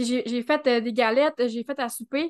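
In a Quebec accent, a woman speaks at a high pitch with fairly even intonation against a quiet background. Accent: Québécois French. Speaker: Human Design specialist. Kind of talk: casual interview chat.

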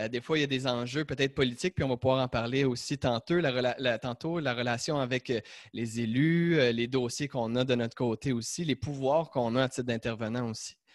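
This man talks at a fairly quick pace with medium pitch and fairly even intonation. The very clean recording has a dry, close sound with no echo and a silent background. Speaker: podcast host. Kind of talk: interview. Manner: halting.

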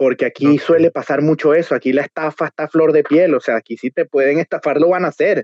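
A man with a fairly high pitch talks at a very fast pace with hardly any pauses and fairly even intonation. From Venezuela, Trujillo state (Valera). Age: 20s. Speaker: restaurant entrepreneur. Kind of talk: interview.

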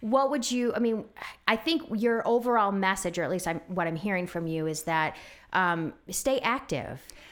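A woman talks at a moderate pace with lively intonation. Her medium pitch sits in a plain, everyday voice. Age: 40s. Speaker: podcast host. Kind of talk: casual interview.

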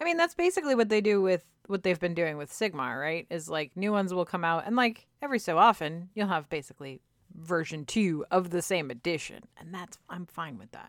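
In a very clean recording with a silent background, a woman with a plain, everyday voice talks at a fairly quick pace, fairly low in pitch, with lively intonation and big swings in loudness. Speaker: podcast host. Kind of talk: casual chat.

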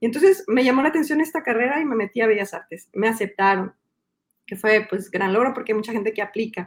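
A woman speaks at a very fast pace with a fairly high pitch. Her intonation is lively. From Mexico City. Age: 40s. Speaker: illustrator and children's book author. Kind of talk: interview.

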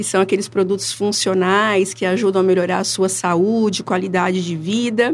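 A woman with an unremarkable speaking voice and ordinary pitch variation is heard in a very clean recording with a silent background. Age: 40s. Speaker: product consultant. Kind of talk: interview. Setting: studio.

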